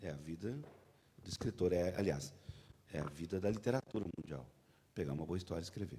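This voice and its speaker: In a dark, mellow tone, a man with a very deep, low, somewhat breathy voice speaks at a fairly quick pace with ordinary pitch variation and long, frequent pauses. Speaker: panel moderator. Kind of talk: interview questions on stage.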